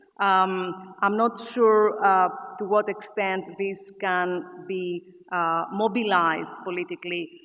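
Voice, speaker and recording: Noticeable background noise sits behind a woman of medium pitch. She talks at a very slow pace with fairly even intonation. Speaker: academic speaker. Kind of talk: conference Q&A answer. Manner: hesitant, many fillers.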